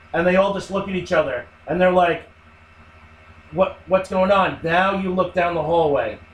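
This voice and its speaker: With noticeable background noise, a man speaks in a high pitch at a moderate pace, his intonation fairly even and broken by long, frequent pauses. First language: not English. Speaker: podcast co-host. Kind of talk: casual chat.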